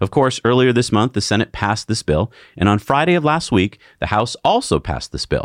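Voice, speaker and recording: On a very clean recording with a silent background, a man talks at a fairly quick pace and medium pitch with lively intonation and vocal fry. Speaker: podcast co-host. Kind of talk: news discussion.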